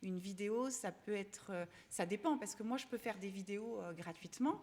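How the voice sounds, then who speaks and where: The pitch varies in an ordinary way as the speech moves along at a moderate pace. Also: woman, medium pitch for a woman. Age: 40s. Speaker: fashion influencer. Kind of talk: interview answer. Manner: hesitant, casual.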